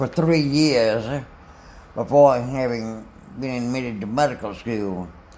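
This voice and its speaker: A man with a Southern US accent at a fairly slow pace, ordinary pitch variation and audible room echo. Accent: Southern US (Georgia). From US South, Macon, Georgia. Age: 80s+. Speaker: retired physician. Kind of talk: life story interview. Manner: halting.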